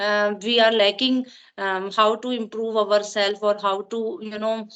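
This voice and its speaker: Her fairly high pitch stays in a monotone, flat intonation as the woman speaks at a moderate pace. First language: Punjabi. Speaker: English learner. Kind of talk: casual chat. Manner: halting.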